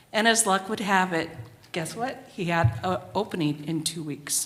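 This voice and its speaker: With noticeable background noise around her, a woman talks fairly slowly, her intonation lively. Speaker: stroke survivor sharing testimony. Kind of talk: testimony. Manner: slow, careful.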